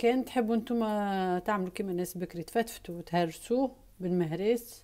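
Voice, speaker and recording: A woman's dark, mellow voice at a medium pitch, with fairly even intonation and a moderate pace, in a very clean recording with a silent background. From Tunisia. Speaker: cooking video host. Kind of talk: cooking tutorial. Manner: casual, chatty.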